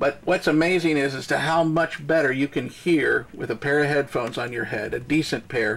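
At a moderate pace, a man with a medium pitch and fairly bright tone speaks with vocal fry and fairly even intonation.

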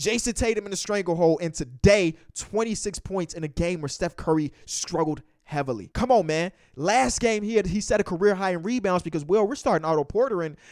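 Over a quiet background, a man talks at a fairly quick pace with lively intonation. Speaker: sports commentator vlogger. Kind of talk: commentary. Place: home room. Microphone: handheld.

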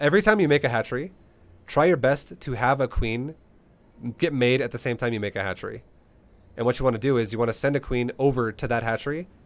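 A man with a medium pitch at a very fast pace. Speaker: StarCraft coach. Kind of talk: coaching session.

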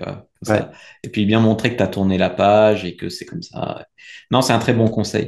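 A man with an ordinary speaking voice against a quiet background. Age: 30s. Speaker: dating coach. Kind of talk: casual interview. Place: home room. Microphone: video call.

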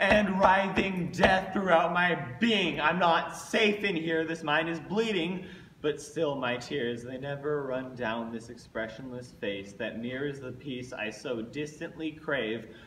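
A man speaks at a fairly slow pace with lively intonation. Light background noise and audible room echo surround him. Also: fairly high pitch for a man. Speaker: slam poet. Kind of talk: slam poetry performance. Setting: live venue. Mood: angsty, intense. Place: stage. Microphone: camera far.

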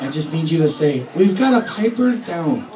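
A man talks with lively intonation while crowd noise carries in the background. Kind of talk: stage banter with the audience. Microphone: pa.

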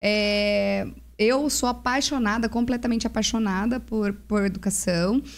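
A woman at a fairly slow pace, with fairly even intonation. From Brazil. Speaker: parenting mentor. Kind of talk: casual chat. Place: studio. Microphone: studio mic.

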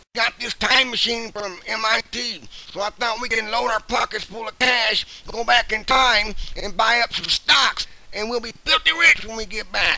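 A man puts on a cartoonish character voice at an extremely high pitch. He keeps a moderate pace and fairly even intonation. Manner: crude, panicky shouting.

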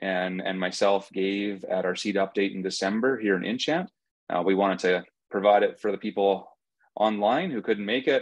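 A man with an unremarkable speaking voice talks at a moderate pace. His pitch is fairly low, and the sound is dry with no echo. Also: quiet background. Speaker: seed company host. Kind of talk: webinar introduction. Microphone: video call.

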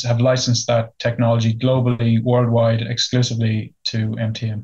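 Speaking at a moderate pace with an Irish accent, a man has a monotone, flat intonation and a somewhat breathy voice against a quiet background. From Ireland. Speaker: company CEO. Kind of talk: business interview. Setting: remote interview. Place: office. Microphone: video call.

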